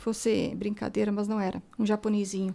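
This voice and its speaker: A woman with an unremarkable speaking voice and a fairly high pitch moves at a fairly quick pace. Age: 60s. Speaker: author. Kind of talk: radio interview.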